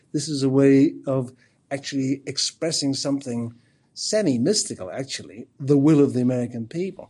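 This man's fairly high pitch comes with a dark, mellow tone. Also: ordinary pitch variation, moderate pace. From Ireland. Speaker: professor of philosophy. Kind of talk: interview.

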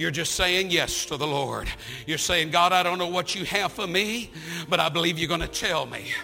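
A man speaks in an animated tone with a high pitch at a moderate pace. Music plays in the background. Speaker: visiting preacher. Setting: church with live congregation. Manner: warm and humorous, with playful asides.

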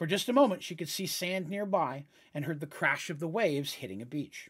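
The voice is dramatic in tone and moves at a fairly quick pace. The recording is very clean, with a silent background. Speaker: Dungeons and Dragons game master and storyteller. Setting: live stream, podcast recording. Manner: dramatic, expressive narration, shifting into character voices; friendly, conversational, a bit hesitant with fillers.

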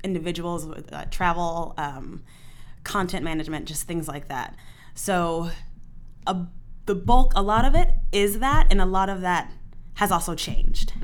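At a moderate pace, a woman with a medium pitch and ordinary pitch variation speaks with big swings in loudness and long, frequent pauses, in a room with audible echo. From military family, moved often (Germany, Texas, Virginia). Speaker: theater programming manager. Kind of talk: casual chat.

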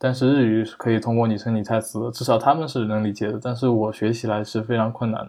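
A man at a medium pitch, very fast and with hardly any pauses, in monotone, flat intonation. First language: a Chinese dialect (speaking Chinese). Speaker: software developer, hobby Japanese learner. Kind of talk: casual interview conversation. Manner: halting, many fillers.

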